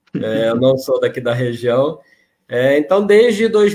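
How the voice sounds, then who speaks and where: The speaker has a Rio de Janeiro accent. The pace is fairly slow. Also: man. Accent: carioca. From Rio de Janeiro, Brazil. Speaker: regional spiritist association president. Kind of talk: interview conversation.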